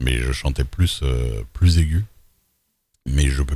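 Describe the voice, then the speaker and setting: A man's very deep, low voice, somewhat breathy and dark and mellow, with ordinary pitch variation. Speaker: streamer, roleplay gamer. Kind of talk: casual chat. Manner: hesitant, many fillers.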